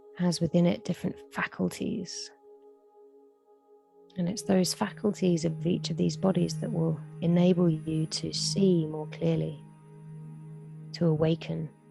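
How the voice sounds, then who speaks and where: Music plays in the background as a woman talks fairly slowly with long, frequent pauses. Her voice is fairly low, with a calm, soothing tone and fairly even intonation. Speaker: meditation guide. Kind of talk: guided meditation. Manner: slow, calm, soothing.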